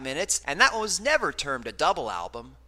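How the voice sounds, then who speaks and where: A man projects a raised voice at a high pitch, his tone bright and sharp. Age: 30s. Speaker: radio host and music reviewer. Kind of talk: radio show with scripted album reviews.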